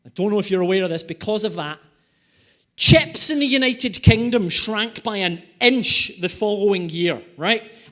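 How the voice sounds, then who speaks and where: With a Scottish accent, a man uses a raised, projected voice at a high pitch, sounding animated, with ordinary pitch variation. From Scotland, Glasgow. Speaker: environmental economist and comedic speaker. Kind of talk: keynote presentation with humor. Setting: conference stage with audience. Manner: animated, quick humor.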